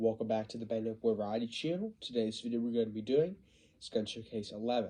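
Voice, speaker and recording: A man's medium-pitched voice, dark and mellow in tone, at a very fast pace, with ordinary pitch variation and big swings in loudness. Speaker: youtuber showing nerf toy collection. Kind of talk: casual show-and-tell. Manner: hesitant, many fillers.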